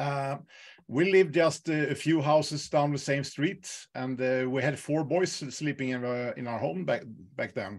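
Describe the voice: A man speaks at a fairly slow pace, at a medium pitch, with ordinary pitch variation.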